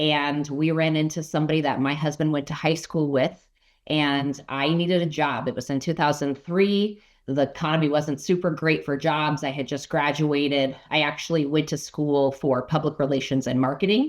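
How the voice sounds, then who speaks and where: In a Minnesotan accent, a woman speaks at a moderate pace with a very deep, low pitch and fairly even intonation against a quiet background. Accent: Minnesota. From Colorado (Arvada). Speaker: insurance agent and financial advisor. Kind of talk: casual interview.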